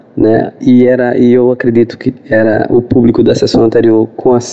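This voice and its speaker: A man at a medium pitch and fairly slow pace, monotone with flat intonation, against noticeable background noise. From Recife, Brazil. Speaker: film critic. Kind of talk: personal recollection. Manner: halting.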